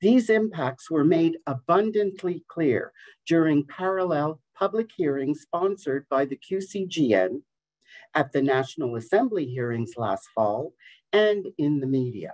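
With very wide pitch swings, a woman with a very deep, low voice speaks at a fairly slow pace in a dry, close recording with no echo. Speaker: advocacy group president. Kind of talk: press conference statement; answering media questions.

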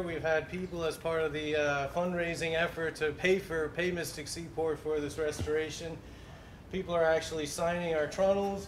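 A man's fairly high voice at a moderate pace, flat and monotone, with audible room echo and light background noise. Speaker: wooden ship restoration worker. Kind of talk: explanatory walkthrough. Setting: outdoors at a boat show. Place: workshop. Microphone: lapel.

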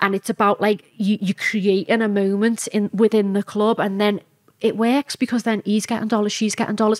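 Against a quiet background, a woman with a Liverpool accent talks fairly quickly at a fairly high pitch, her intonation monotone and flat and her loudness very even. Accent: Liverpool (Scouse). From Liverpool, England. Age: 30s. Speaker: strip club owner; podcast guest. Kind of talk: interview. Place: studio. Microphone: studio mic.

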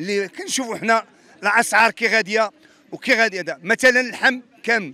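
A raised, projected voice moves at a fairly quick pace with ordinary pitch variation. The sound is dry with no echo. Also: man. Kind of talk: interview answer. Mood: indignant complaint. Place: street. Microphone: handheld.

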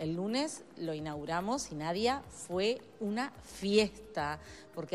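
A woman speaks at a moderate pace. Her pitch sits fairly low.

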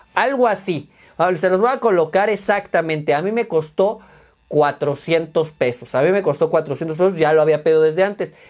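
With a Mexican accent, a man speaks at a high pitch and a moderate pace. His pitch variation is ordinary, against a quiet background. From Mexico. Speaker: teacher and YouTuber reviewing tech; tech reviewer. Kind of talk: unboxing review video. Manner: casual, halting with fillers. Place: home room. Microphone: lapel.

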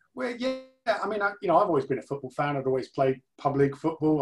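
A man's voice with music playing behind it. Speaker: interview guest. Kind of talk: interview answer. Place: home room. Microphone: video call.

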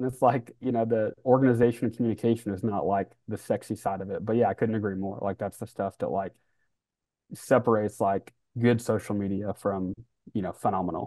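Speaking at a fairly quick pace with an American accent, a man has a fairly low pitch, a dark, mellow tone and fairly even intonation. The sound is dry with no echo, over a quiet background. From US Midwest (Kansas City). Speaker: head of social media; podcast guest. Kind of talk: casual interview chat. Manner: casual, laid-back. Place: home room.

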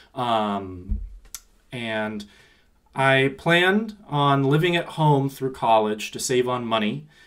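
This man talks at a very slow pace with lively intonation. He has a Pacific Northwest accent. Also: medium pitch for a man. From Seattle. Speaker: university student finance staff. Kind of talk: casual interview.

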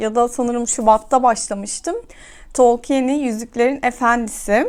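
This woman has a high voice and talks at a fairly slow pace. The recording is very clean, with a silent background. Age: 30s. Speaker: book vlogger. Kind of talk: casual monologue to camera. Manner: hesitant fillers.

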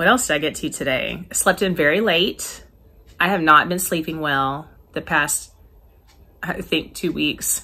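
At a moderate pace, a woman speaks with vocal fry. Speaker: teacher, crafter vlogger. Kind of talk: casual vlog chat. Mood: relaxed, cheerful. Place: home room. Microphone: phone near.

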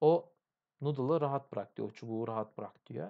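Over a quiet background, a man talks with a dark, mellow tone, a fairly high pitch and lively intonation. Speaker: English tutor and YouTuber. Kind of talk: reading aloud with translation. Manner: casual, thinking aloud.

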